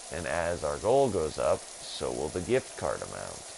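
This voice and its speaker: Speaking at a fairly slow pace, a man is heard over noticeable background noise with audible room echo. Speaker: gaming streamer. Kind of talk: live stream gameplay commentary. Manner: halting, stumbling over words; casual, rambling.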